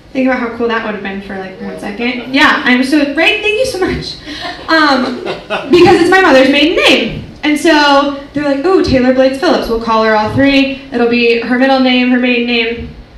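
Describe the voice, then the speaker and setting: A woman with an American accent talks at a moderate pace in a high pitch, her intonation lively over noticeable background noise. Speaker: comedian. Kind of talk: live stand-up comedy performance. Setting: live stage with audience. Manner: casual, chatty, sarcastic.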